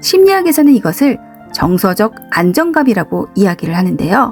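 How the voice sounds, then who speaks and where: Over music in the background, a woman with fairly high pitch uses a calm, soothing tone and very wide pitch swings. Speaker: psychological counselor. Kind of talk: counseling talk narration.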